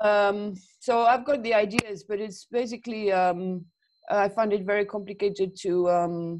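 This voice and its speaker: At a moderate pace and medium pitch, a woman with a French accent speaks with ordinary pitch variation. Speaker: animation student. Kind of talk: one-to-one tutorial session. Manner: halting, many fillers.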